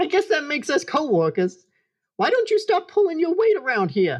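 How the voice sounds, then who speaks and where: A put-on character voice, squeaky and high-pitched, speaks at a fairly quick pace. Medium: audio drama. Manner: matter-of-fact, deadpan.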